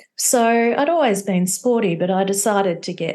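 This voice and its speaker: At a fairly slow pace, the speaker talks with an Australian accent and ordinary pitch variation. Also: woman. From Australia (Victoria). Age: 60s. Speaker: entrepreneur, company founder. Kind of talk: interview conversation.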